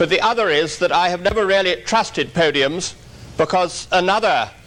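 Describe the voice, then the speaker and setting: A man with an English accent speaks at a moderate pace in a high voice, his pitch rising and falling in an ordinary way. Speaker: workshop lecturer on terrorism. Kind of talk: conference lecture. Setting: conference hall with audience. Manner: formal.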